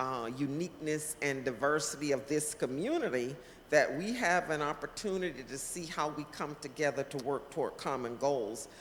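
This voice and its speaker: A woman with a very deep, low pitch speaks at a moderate pace. She uses ordinary pitch variation and hardly any pauses. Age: 60s. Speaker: community leader and political candidate. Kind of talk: interview. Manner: halting.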